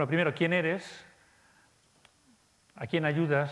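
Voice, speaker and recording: The intonation barely shifts, staying fairly even. The speaker is a man. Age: 50s. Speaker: conference speaker. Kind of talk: conference talk. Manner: halting, many fillers.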